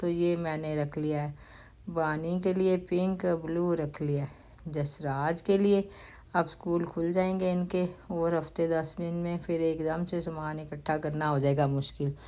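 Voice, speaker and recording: Monotone, flat intonation carries a voice with a dark, mellow tone. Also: woman, fairly low pitch for a woman. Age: 60s. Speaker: grandmother vlogger. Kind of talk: shopping vlog. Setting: store.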